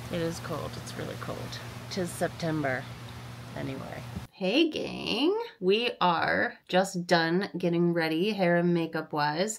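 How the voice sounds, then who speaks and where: Pitch shifts in an ordinary way. The pace is fairly slow. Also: woman. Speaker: fitness vlogger. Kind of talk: casual vlog chat.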